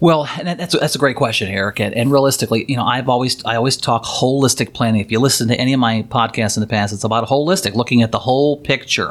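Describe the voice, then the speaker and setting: Using ordinary pitch variation, a man at medium pitch talks at a very fast pace with hardly any pauses. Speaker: financial planner and podcast host. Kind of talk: casual interview about Medicare. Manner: fast talker.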